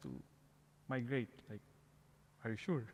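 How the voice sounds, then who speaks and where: A man speaks with a Filipino accent. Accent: Filipino accent, noticeable. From Philippines. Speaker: parish outreach coordinator. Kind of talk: interview, personal testimony.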